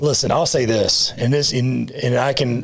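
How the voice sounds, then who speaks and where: There is noticeable background noise as a man speaks at a fairly quick pace, his pitch medium and his intonation fairly even. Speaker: title company owner. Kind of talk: casual chat. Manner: halting.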